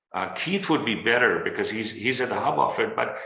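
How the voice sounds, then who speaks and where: A man talks with a non-native accent. Audible room echo is present. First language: not English. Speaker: corporate board director. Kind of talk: panel discussion.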